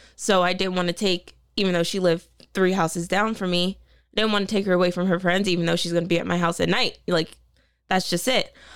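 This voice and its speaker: On a very clean recording with a silent background, a woman with an American accent talks very fast at a medium pitch, flat and monotone, with very even loudness. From Delaware, US. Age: 20s. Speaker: reality TV contestant. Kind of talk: casual chat.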